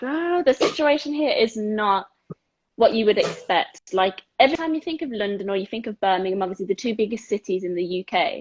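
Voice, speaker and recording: Moving at a fairly quick pace, a woman with a fairly high pitch swings very widely in pitch. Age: 20s. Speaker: sports therapist and dyslexia advocate. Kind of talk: casual chat. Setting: video call.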